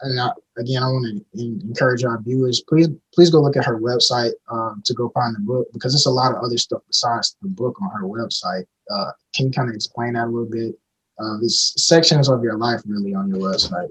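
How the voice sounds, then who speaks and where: A man with an unremarkable speaking voice and an American accent, at a fairly quick pace with ordinary pitch variation, the sound dry and close with no echo. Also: medium pitch for a man. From Alabama, US South. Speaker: podcast co-host. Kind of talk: podcast interview.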